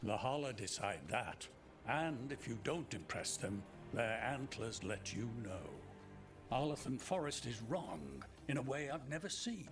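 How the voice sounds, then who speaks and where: At a moderate pace and medium pitch, a man does a put-on character voice over clear background noise. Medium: video game. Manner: dry, wry humor.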